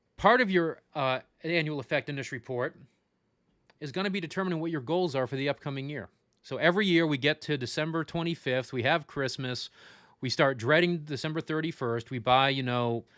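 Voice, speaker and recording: In a very clean recording with a silent background and a dry, close sound with no echo, a man with an American accent talks at a fairly quick pace in a fairly high pitch with ordinary pitch variation, an unremarkable speaking voice. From Florida, Tampa Bay. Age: 40s. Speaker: funeral service educator. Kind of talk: livestream lecture. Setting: livestream. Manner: casual, joking.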